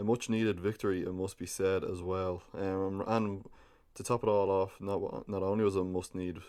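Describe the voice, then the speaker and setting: A man with an Irish accent speaks in a very deep, low voice with a dark, mellow tone. His intonation is monotone and flat on a very clean recording with a silent background. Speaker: football podcast host. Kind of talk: casual podcast commentary. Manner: hesitant, many fillers.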